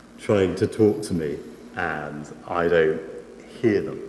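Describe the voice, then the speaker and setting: Through audible room echo and noticeable background noise, a man speaks with very wide pitch swings. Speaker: preacher. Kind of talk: sermon. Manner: soft-spoken; halting.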